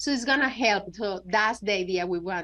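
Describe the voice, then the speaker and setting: A woman with a Spanish accent. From Venezuela. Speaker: app founder and designer. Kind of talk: interview.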